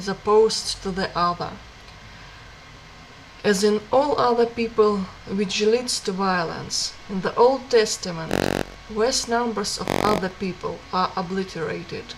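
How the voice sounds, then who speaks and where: A woman's medium-pitched voice at a fairly slow pace, with ordinary pitch variation, long, frequent pauses and noticeable background noise. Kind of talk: book reading.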